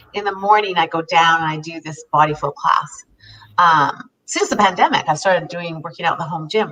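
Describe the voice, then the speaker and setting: A woman with a fairly low pitch talks at a fairly quick pace, with fairly even intonation and big swings in loudness. An ordinary speaking voice. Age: 50s. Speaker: self-help show co-host. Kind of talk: casual chat.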